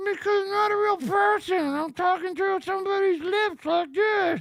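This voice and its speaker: Doing a put-on character voice, a woman talks at a moderate pace in an extremely high pitch. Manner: talking through the lips without moving them, ventriloquist style.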